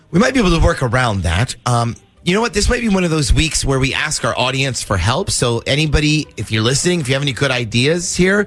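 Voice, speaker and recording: A man talks at a fairly quick pace with very wide pitch swings. Music plays in the background. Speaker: radio show host. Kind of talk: radio prank call banter.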